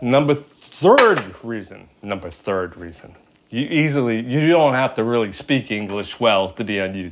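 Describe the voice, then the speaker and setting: A medium-pitched man speaking fairly slowly, lively in intonation, with big swings in loudness and noticeable background noise. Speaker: YouTuber. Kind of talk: casual chat.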